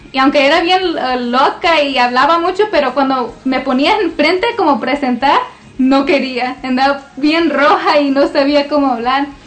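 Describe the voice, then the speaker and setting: Noticeable background noise behind a fairly slow pace and fairly even intonation. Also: woman. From US, Washington state (Lacey), Mexican parents. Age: young. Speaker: church receptionist, guest speaker. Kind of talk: testimony.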